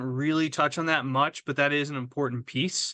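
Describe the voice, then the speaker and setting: Against a quiet background, a man speaks loudly in a fairly high pitch, his tone bright and sharp and his intonation fairly even. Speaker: webinar presenter, trainer. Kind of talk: webinar Q&A. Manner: halting, many fillers and repetitions.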